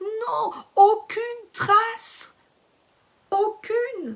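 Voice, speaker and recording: In a put-on character voice, a woman speaks extremely high and very slowly, her intonation monotone and flat. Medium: read story. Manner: obsequious, feigning sorrow.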